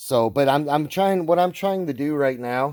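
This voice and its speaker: Very cleanly recorded with a silent background, a man speaks at a fairly high pitch and moderate pace, his tone dark and mellow and his intonation lively. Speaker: DIY auto repair YouTuber. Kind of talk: casual tutorial. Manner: rambling, self-correcting.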